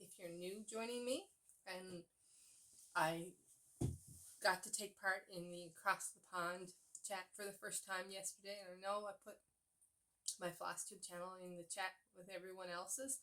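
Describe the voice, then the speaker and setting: Speaking with a Newfoundland accent, a woman uses a medium pitch and a bright, sharp tone with fairly even intonation. Her fairly slow pace has long, frequent pauses and big swings in loudness. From Newfoundland, Canada. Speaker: cross-stitch vlogger. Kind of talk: casual chat. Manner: chatty with fillers.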